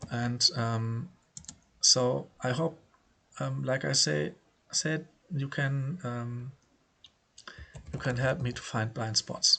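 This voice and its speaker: With a German accent, a man speaks at a very slow pace, leaving long, frequent pauses, and his intonation is lively. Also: medium pitch for a man. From Germany. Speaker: poker player. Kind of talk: casual vlog commentary. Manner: halting, many filler words.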